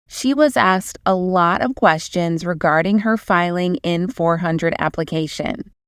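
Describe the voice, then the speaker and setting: This woman has a normal speaking voice at a medium pitch and talks at a moderate pace. The recording is very clean and silent behind her, with a dry, close sound and no echo. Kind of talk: channel intro narration.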